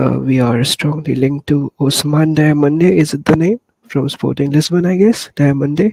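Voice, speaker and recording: A soft-spoken man talks at a moderate pace, fairly high in pitch with ordinary pitch variation. The sound is dry and close, with no echo. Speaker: football fan podcaster. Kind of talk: casual chat. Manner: soft-spoken, lowered voice.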